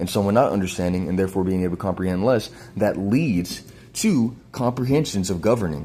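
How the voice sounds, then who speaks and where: At a fairly quick pace, a man with fairly low pitch speaks with ordinary pitch variation. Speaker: video blogger. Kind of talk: explanatory monologue. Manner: halting.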